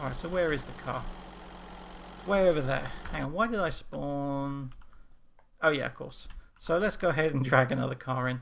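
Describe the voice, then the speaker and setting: A man with an English accent and a fairly high pitch, ordinary pitch variation, long and frequent pauses, and audible room echo. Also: moderate pace. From England. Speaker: game development instructor. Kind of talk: tutorial. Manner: casual.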